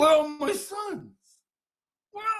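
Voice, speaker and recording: Squeaky and extremely high in pitch, a man puts on a character voice with audible echo. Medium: read story.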